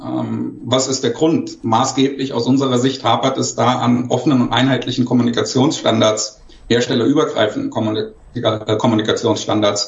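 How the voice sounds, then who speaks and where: A man's monotone, flat delivery at medium pitch and moderate pace, with noticeable background noise. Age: 50s. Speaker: industry education manager. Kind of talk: panel discussion. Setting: remote video call. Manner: formal.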